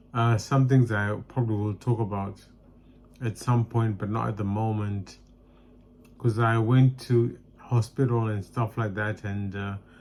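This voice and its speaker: A man speaks at a fairly slow pace. His fairly low voice has monotone, flat intonation. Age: 40s. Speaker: vlogger, nurse and comedian. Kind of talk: personal vlog testimony. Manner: halting.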